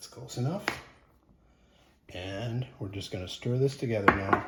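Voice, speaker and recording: A man speaks loudly over noticeable background noise. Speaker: home cooking video host. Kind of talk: cooking tutorial. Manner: casual, conversational.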